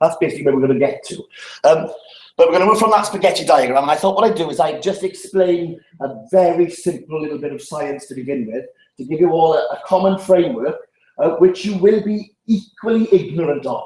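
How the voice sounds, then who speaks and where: With a South Welsh accent, a man speaks fairly quickly at a high pitch, varying it in an ordinary way. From Wales, Llanelli. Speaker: public health speaker. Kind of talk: seminar talk. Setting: seminar room with audience. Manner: fast.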